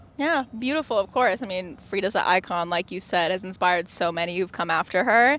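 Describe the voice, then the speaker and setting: A woman with an unremarkable speaking voice, pitched in the middle range, talks at a fairly quick pace. Her intonation is lively, and she hardly pauses at all. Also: very clean recording, silent background. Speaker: music interviewer. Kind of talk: interview question.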